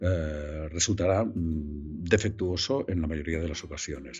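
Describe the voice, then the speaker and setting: Music plays in the background. A man with a very deep, low voice speaks at a fairly slow pace. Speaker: voice actor. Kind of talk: interview answer. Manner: hesitant, searching for words.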